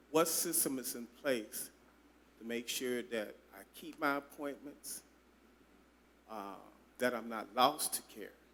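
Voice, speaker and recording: A man's medium-pitched voice at a very slow pace, with long, frequent pauses, ordinary pitch variation, big swings in loudness and audible room echo. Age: 60s. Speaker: audience member, HIV patient advocate. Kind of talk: audience question at town hall. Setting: town hall meeting. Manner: hesitant, with fillers.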